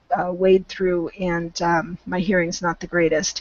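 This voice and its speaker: A woman with a Western US accent speaks at medium pitch. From Southern California. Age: 50s. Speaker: volunteer English tutor. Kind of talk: online English conversation class. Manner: hesitant, many fillers.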